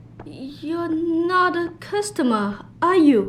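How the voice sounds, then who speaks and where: Over clear background noise, a woman uses a put-on character voice with extremely high pitch. She speaks very slowly, with very wide pitch swings. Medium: video game.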